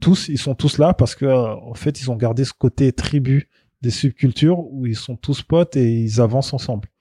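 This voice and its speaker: A somewhat breathy man's voice, dark and mellow, fairly even in intonation, dry and close with no echo, over a quiet background. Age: 40s. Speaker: journalist and marketing consultant. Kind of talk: casual chat.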